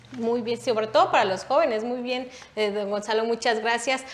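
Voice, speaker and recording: A woman at a fairly high pitch and moderate pace, with audible room echo. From Mexico. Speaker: political talk show host. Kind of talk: panel discussion. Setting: studio. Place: studio.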